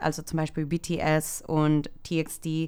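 A woman speaks with a Spanish accent. Her voice sits at a fairly low pitch. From El Salvador. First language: Spanish (speaking German). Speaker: social media worker, K-pop fan. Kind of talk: casual interview. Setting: studio, sitting next to host.

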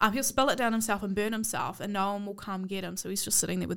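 A woman with a New Zealand accent speaks at a very fast pace and a medium pitch. Her intonation is fairly even, with vocal fry. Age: 20s. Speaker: podcast co-host. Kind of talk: casual chat.

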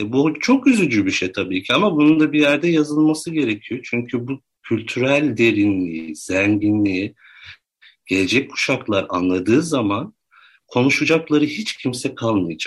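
Medium-pitched and moving at a moderate pace, a man's voice shows very wide pitch swings. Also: quiet background. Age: 30s. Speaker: researcher and writer. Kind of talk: interview. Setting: studio.

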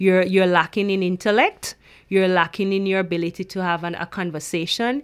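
A woman speaks at a medium pitch with a Jamaican accent. The recording is very clean, with a silent background. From rural Jamaica. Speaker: PhD student researcher. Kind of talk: interview.

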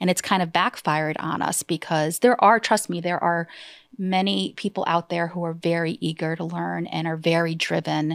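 An ordinary speaking voice from a woman, fairly low in pitch, with fairly even intonation at a moderate pace, in a very clean recording with a silent background and a dry, close sound with no echo. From Massachusetts, US. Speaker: insurance agency owner. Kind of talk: interview. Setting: studio.

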